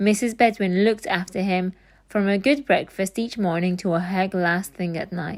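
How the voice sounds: What you hear is a natural reading voice.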